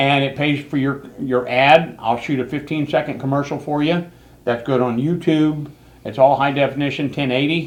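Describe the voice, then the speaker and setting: With an American accent, a man speaks at a moderate pace in a fairly high pitch, his intonation fairly even. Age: 60s. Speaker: local TV show host and video producer. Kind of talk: casual talk show chat. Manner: hesitant, with many fillers.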